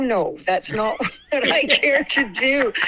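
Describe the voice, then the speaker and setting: A woman speaks over noticeable background noise. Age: 60s. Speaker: rock singer. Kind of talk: casual chat.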